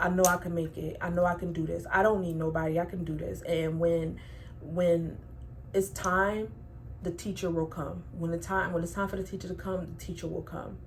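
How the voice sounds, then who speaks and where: There is noticeable background noise and audible room echo as a woman speaks at a moderate pace. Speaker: tarot reader. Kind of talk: tarot reading.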